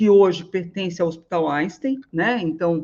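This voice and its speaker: Speaking at a fairly quick pace, a woman uses a medium pitch and ordinary pitch variation. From Northeast Brazil. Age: 60s. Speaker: elder care manager and business owner. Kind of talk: webinar lecture. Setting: online live stream. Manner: hesitant, many fillers.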